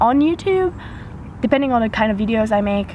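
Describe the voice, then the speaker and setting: A woman speaks over noticeable background noise. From French-speaking Switzerland. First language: French. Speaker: YouTuber. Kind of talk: casual Q&A vlog. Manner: hesitant, with fillers.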